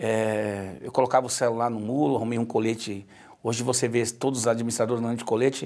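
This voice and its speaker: Against a quiet background, a man talks very fast at a medium pitch, his intonation monotone and flat. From Brazil, Ceará (Ipu), raised in Brasília area; Ceará, Brazil. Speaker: politician, retired military police officer; politician. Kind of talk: interview. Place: studio. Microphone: lapel.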